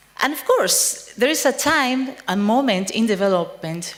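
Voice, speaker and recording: Fairly slow speech with very wide pitch swings, audible room echo and noticeable background noise. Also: woman. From Spain. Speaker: psychiatrist and researcher. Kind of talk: conference talk. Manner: halting, frequent fillers.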